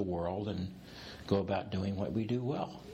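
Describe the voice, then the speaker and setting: In a normal speaking voice, a man talks at a moderate pace with a fairly low pitch. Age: 60s. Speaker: executive coach. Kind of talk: interview conversation. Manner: humorous, playful.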